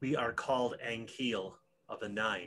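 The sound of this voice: A man puts on a character voice at medium pitch, with a hissing sound and a moderate pace.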